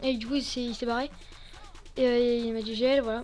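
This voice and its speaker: Over music in the background, a woman talks at a fairly quick pace in a high pitch with monotone, flat intonation. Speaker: gaming youtuber. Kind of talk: gameplay commentary. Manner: fast; halting.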